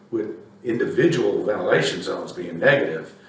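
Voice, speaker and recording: Against noticeable background noise and audible room echo, a man talks at a fairly slow pace. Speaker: company president presenting a technical webinar. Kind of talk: casual aside to viewers; technical presentation. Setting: virtual presentation.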